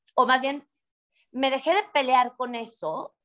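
A woman with a high pitch and an energetic tone, at a moderate pace. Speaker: real estate entrepreneur. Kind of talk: interview. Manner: loud.

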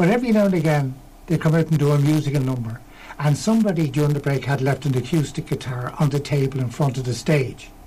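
A man talks in a Dublin accent. His pace is very fast. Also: fairly high pitch for a man, ordinary pitch variation. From Ireland, Tallaght, Dublin. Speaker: folk musician. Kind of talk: casual chat. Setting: studio.

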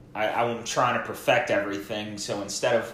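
A man with a fairly low pitch speaks at a moderate pace, with audible room echo. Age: 20s. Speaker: social media marketing podcast co-host. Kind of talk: casual chat.

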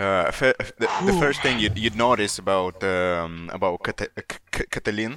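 A man talking at a very slow pace over noticeable background noise. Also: fairly low pitch for a man, ordinary pitch variation, hardly any pauses, very even loudness. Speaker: podcast co-host. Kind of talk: casual banter, mixed Romanian and English.

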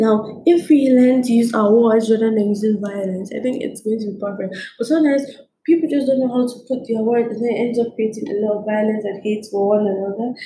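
A woman at a fairly quick pace and a fairly high pitch, with ordinary pitch variation, audible room echo and noticeable background noise. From Nigeria. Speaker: podcast host. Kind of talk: solo talk monologue.

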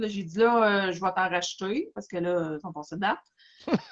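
In a Quebec accent, a woman speaks at a medium pitch. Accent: Québécois French. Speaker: podcast co-host. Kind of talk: casual chat.

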